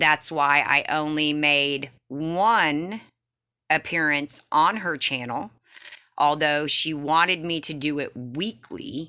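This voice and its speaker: A bright, sharp tone at a very slow pace with ordinary pitch variation, in a very clean recording with a silent background. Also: woman, very deep, low pitch for a woman. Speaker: penny shopping YouTuber. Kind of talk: casual vlog talk. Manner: stern.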